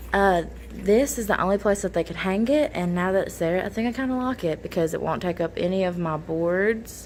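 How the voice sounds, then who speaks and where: At a fairly quick pace, a woman with a Southern US accent talks at medium pitch with ordinary pitch variation. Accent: southern American. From Kentucky, US South. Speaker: middle school math teacher, vlogger. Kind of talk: casual vlog. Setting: in a car.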